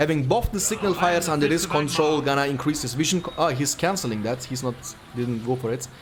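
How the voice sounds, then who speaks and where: A man talks at a fairly quick pace with a fairly high pitch and lively intonation. Noticeable background noise can be heard. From Turkey. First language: Turkish. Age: 20s. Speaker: esports commentator. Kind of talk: live commentary.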